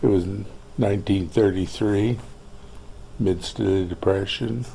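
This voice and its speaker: A man with an American accent, fairly low in pitch with ordinary pitch variation, at a fairly slow pace with audible room echo. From Montana, US. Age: 80s+. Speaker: oral history interviewee. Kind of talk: interview. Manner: halting, many fillers.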